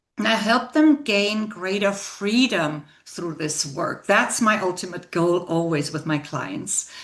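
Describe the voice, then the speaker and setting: Over noticeable background noise, a woman talks at a very slow pace with hardly any pauses and very wide pitch swings. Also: medium pitch for a woman. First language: not English. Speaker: leadership coach. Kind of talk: interview conversation.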